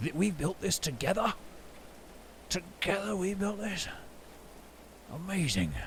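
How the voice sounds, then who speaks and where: Using a put-on character voice, a man sounds gruff at a high pitch, speaking fairly slowly with long, frequent pauses over noticeable background noise. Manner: proud, satisfied.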